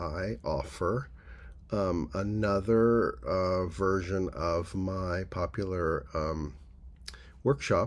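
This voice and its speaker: There is vocal fry in this man's very deep, low-pitched voice. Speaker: workshop teacher. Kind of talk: casual announcement to camera. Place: home room. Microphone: phone near.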